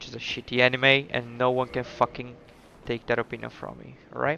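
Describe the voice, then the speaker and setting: Fairly quick, flat, monotone delivery from a man at a medium pitch, with big swings in loudness. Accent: non-native. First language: not English. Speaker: gaming streamer. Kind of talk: gameplay commentary. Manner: casual, halting.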